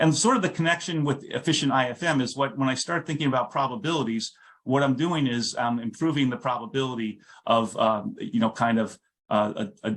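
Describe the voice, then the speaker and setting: Against a quiet background, a man speaks at a fairly quick pace with a medium pitch and ordinary pitch variation. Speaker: physicist. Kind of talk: lecture. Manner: fast; halting, many fillers and restarts.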